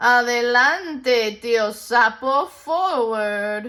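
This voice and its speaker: A female-sounding voice puts on a character voice, raised and projected, with a high pitch at a very slow pace. The recording is very clean and the background silent. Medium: read story. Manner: proud, self-assured.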